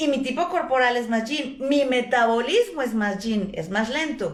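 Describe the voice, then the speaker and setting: A woman speaks loudly at a high pitch with lively intonation. Her pace is fairly slow, and the room echo is audible. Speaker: traditional Chinese medicine teacher. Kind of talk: lecture.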